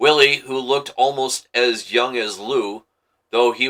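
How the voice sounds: Someone reads in a natural reading voice over a quiet background.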